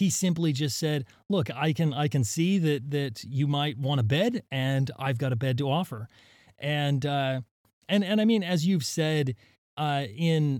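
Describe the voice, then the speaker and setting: A man with an American accent and a normal speaking voice talks at a fairly slow pace and a fairly high pitch with ordinary pitch variation, on a very clean recording with a silent background. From US, southern Utah. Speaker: geologist, professor. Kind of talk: casual interview. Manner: frequent fillers and repetitions.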